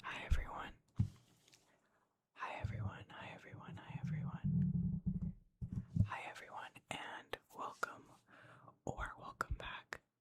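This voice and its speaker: Someone is whispering at a fairly slow pace. Long, frequent pauses break up the speech. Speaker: ASMR channel creator. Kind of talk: ASMR gaming ramble to camera. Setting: home studio, desktop microphone. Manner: whispered, soft, casual.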